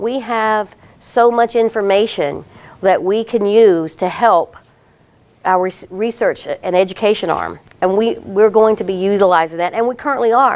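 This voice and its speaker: A woman speaks at a medium pitch with ordinary pitch variation. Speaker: healthcare data analytics presenter. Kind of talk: conference presentation. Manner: fast.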